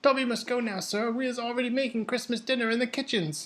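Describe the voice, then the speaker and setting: In a put-on character voice, the speaker rattles along at a very fast pace with a fairly high, squeaky pitch. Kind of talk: audiobook character voice. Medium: read story. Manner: servile, third-person speech, broken grammar, 'sir'.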